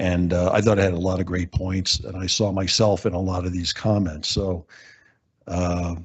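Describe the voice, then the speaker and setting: Speaking at a moderate pace, a man with a very deep, low pitch sounds somewhat breathy and keeps a flat, monotone intonation. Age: 70s. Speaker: public commenter at council meeting. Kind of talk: public comment. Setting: city council meeting. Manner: hesitant, many fillers.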